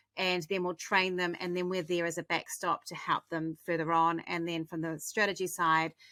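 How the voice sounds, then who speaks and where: A woman speaks at a moderate pace with a New Zealand accent and a bright, sharp tone. Her intonation is monotone and flat, and the sound is dry and close with no echo. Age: 50s. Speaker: marketing strategist, agency owner. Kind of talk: interview answers.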